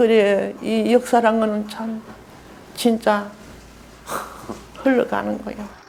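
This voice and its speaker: Amid noticeable background noise, a woman with a fairly high pitch speaks very slowly in a flat monotone, with long, frequent pauses. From North Korea, Hamgyong province (Hungnam). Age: 70s. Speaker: war refugee. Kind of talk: interview testimony.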